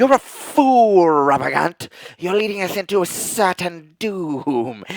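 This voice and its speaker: Someone with a female-sounding voice at a medium pitch for a woman puts on a character voice and speaks at a fairly slow pace. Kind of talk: refined, scornful. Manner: snaky, honeyed, menacing.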